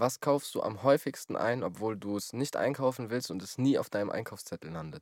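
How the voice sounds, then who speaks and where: A man talks at a fairly quick pace with lively intonation and vocal fry. The sound is dry and close, without echo. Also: medium pitch for a man. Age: 20s. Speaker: podcast host and musician. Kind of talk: casual chat.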